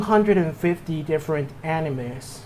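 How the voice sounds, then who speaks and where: A man talks with a Mexican accent. His pitch varies in an ordinary way. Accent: Mexican Spanish accent, noticeable. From Mexico. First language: Spanish. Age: 20s. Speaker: anime and movie reviewer. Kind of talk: casual channel introduction monologue. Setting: home room. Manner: halting, with repetitions and false starts.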